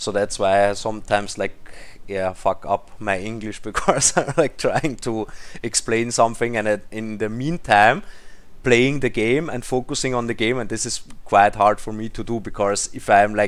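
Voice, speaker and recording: The man talks at a moderate pace with fairly low pitch. His pitch variation is ordinary. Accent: non-native. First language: not English. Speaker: mobile game YouTuber. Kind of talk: gameplay commentary. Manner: halting, searching for words.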